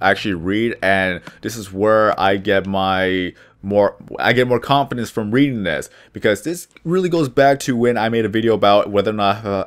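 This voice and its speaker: In a very clean recording with a silent background, a man speaks at a moderate pace with a fairly low pitch and ordinary pitch variation. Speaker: video creator; drive-thru worker. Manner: stumbles over words at times.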